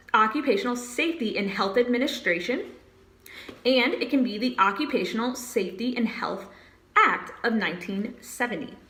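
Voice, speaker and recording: A woman speaks at a high pitch with lively intonation and a moderate pace. The room echo is audible and the background noise noticeable. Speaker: HR exam tutor. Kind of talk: tutorial. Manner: animated.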